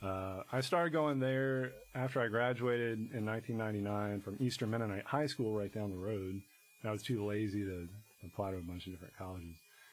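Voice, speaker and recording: Fairly low-pitched male voice with an American accent, ordinary pitch variation and a fairly quick pace, against noticeable background noise. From Virginia, Shenandoah Valley (Harrisonburg). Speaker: musician. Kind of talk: casual interview.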